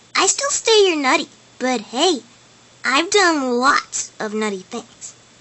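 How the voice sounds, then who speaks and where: In a put-on character voice, a woman talks high-pitched at a fairly slow pace. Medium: voice reel. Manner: brash, energetic, boastful.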